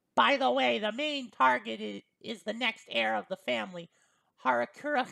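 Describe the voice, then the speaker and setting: At a moderate pace, a female-sounding voice performs a put-on character voice at a low-to-middle pitch. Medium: read story. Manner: casual, polite, starts sentences with well.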